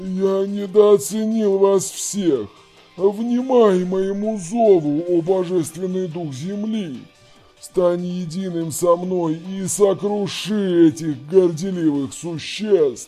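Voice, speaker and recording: A growling, put-on character voice at a middle pitch, delivered at a fairly slow pace. Faint music plays in the background. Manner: growling, menacing.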